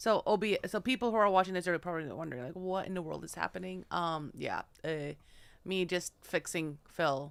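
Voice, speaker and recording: A woman with a normal speaking voice, fairly low in pitch, at a fairly quick pace with ordinary pitch variation, in a very clean recording with a silent background. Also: big swings in loudness. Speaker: podcast co-host. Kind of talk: casual chat. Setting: live stream.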